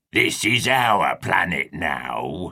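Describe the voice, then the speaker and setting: A man performs a gruff, raspy, growling put-on character voice. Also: very deep, low pitch for a man. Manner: gruff, menacing.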